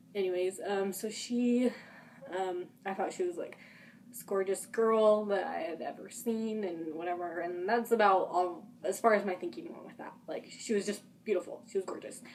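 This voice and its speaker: With an American accent, a woman speaks at a moderate pace and medium pitch. Her pitch varies in an ordinary way while her loudness swings widely. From Utah. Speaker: vlogger. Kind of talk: personal testimony. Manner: halting, rambling.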